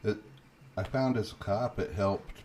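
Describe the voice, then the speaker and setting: A soft-spoken man talks at a fairly slow pace in a calm tone, his voice dark, mellow and somewhat breathy. His intonation stays fairly even. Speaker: day trader, live stream host. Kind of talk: casual chat during live trading stream. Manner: quiet, calm.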